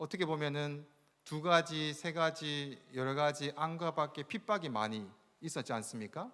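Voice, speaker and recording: A man speaks fairly slowly with lively intonation and a fairly high pitch. The recording is very clean, with a silent background. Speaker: pastor. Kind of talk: sermon.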